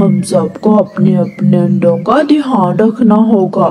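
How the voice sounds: Putting on a cartoonish character voice, a man speaks at a very slow pace in a high pitch with ordinary pitch variation.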